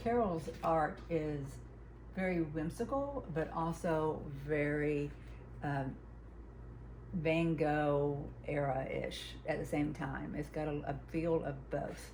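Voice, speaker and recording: A woman talks at a very slow pace, leaving long, frequent pauses, with audible room echo around her. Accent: Southern US. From US South, Huntsville, Alabama. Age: 60s. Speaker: quilter and craft vlogger. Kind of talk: casual chat. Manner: halting.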